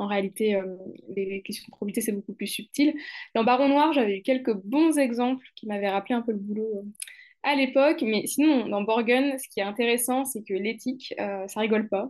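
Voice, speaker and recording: A woman's plain, everyday voice, fairly high in pitch with ordinary pitch variation and big swings in loudness, at a moderate pace over a quiet background. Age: 20s. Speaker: lawyer and anti-corruption consultant. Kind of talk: casual chat.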